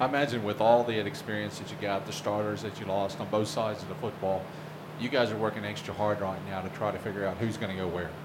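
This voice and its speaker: A man with a fairly low pitch talks very fast with fairly even intonation, over noticeable background noise and audible room echo. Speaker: newspaper publisher and sports podcast host. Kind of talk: podcast hosting and interview. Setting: locker room. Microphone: poor audio quality.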